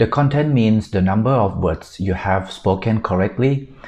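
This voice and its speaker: With only a quiet background behind him, a man talks using ordinary pitch variation. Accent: Thai. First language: Thai. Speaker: exam prep tutor. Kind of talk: tutorial.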